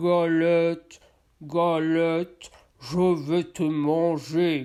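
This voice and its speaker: A put-on character voice, growling and gruff, sits at a middle pitch. It moves at a very slow pace with monotone, flat intonation. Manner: growling, threatening.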